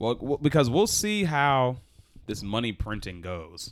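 Here a man talks with an American accent. It is a very clean recording with a silent background. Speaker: podcast co-host, restaurant server. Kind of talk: casual chat.

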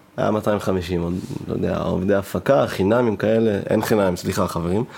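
A normal speaking voice, delivered at a fairly slow pace. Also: man. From northern Israel. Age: 20s. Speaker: party producer and podcast host. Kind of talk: casual chat. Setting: studio.

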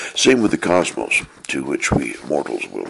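Someone with an American accent talks at a fairly slow pace against noticeable background noise. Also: man. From US Pacific Northwest (Portland, Oregon). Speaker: author and podcaster. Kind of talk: reading aloud from own book.

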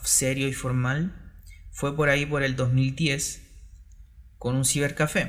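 In a room with audible echo, a man speaks very slowly in a somewhat breathy voice. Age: 30s. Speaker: entrepreneur and former math teacher. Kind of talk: solo podcast monologue. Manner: halting, with fillers.

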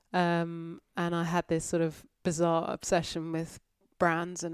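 On a very clean recording with a silent background, a woman talks in a monotone, flat way. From North Yorkshire, England. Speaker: entrepreneur and ocean rower. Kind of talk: casual interview.

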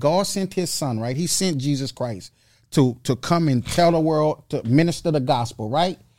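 A man with an unremarkable speaking voice talks at a moderate pace, fairly high in pitch with lively intonation. The recording is very clean, with a silent background. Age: 40s. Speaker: spiritual mentor. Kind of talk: casual chat.

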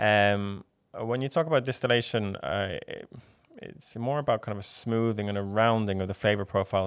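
On a very clean recording with a silent background, a man speaks fairly quickly with fairly even intonation in an Irish accent. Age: 20s. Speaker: whiskey ambassador. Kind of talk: casual interview.

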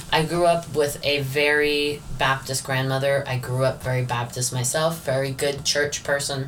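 The speaker has an American accent and a moderate pace with hardly any pauses. Background noise is noticeable. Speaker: podcast host. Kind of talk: casual chat.

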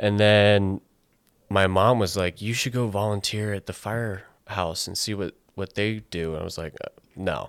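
A man speaks with a very deep, low pitch at a moderate pace and fairly even intonation. The recording is very clean, with a silent background. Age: 20s. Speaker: wildland firefighter. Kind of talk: casual chat.

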